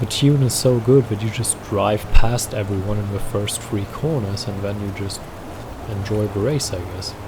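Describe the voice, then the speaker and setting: At a moderate pace and with ordinary pitch variation, the speaker has a German accent, with audible room echo and noticeable background noise in the recording. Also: man. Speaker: gaming YouTuber. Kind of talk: gameplay commentary. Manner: casual, rambling.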